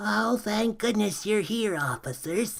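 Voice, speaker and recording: In a raspy, put-on character voice, a man speaks at a high pitch. He keeps a fairly slow pace. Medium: read story. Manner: gentle, doddering.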